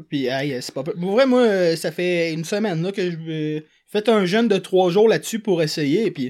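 On a very clean recording with a silent background, a man speaks fairly slowly at a high pitch with ordinary pitch variation. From Quebec, Montreal south shore. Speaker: podcast host. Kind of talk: casual chat.

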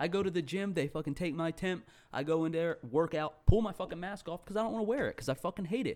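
In a very clean recording with a silent background, a man talks at a very fast pace with a high pitch. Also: ordinary pitch variation. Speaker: podcast co-host. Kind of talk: casual banter, profane.

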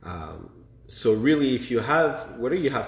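A man speaks at a fairly slow pace with lively intonation, and audible room echo surrounds him. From Quebec, Montreal. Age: 20s. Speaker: young entrepreneur. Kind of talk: casual interview.

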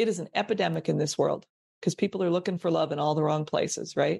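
A woman speaks in a dry, close sound that carries no echo. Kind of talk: motivational pep talk. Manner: emphatic, rhythmic and repetitive, rallying the listener with direct challenges.

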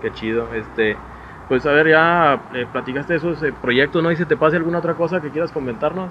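A man with an ordinary speaking voice, fairly high in pitch, at a fairly quick pace with ordinary pitch variation. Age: 40s. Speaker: podcast host. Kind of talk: casual interview chat. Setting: home recording with camera.

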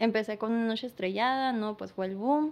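An unremarkable speaking voice, going at a fairly quick pace. Pitch variation is ordinary. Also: woman. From San Luis Río Colorado, Sonora, Mexico. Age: 20s. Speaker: painter and makeup artist. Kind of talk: casual interview chat.

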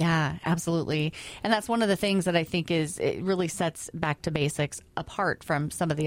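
A woman with a normal speaking voice, fairly low in pitch, at a moderate pace. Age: 40s. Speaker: radio host. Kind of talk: radio interview.

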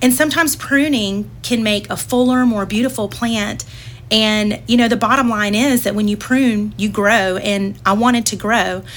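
The speech has fairly even intonation and a moderate pace, with noticeable background noise. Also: woman, fairly high pitch for a woman. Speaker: church ministry volunteer. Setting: studio.

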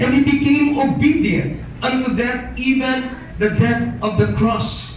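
With a Filipino accent, a man talks at a very slow pace over noticeable background noise. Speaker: pastor. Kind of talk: sermon. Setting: church. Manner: animated; fervent.

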